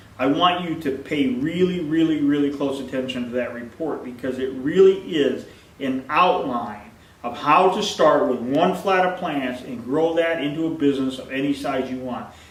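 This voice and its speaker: A man at a moderate pace and fairly high pitch with ordinary pitch variation, amid noticeable background noise and audible room echo. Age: 50s. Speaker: plant nursery owner. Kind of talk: sales pitch. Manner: casual, repetitive.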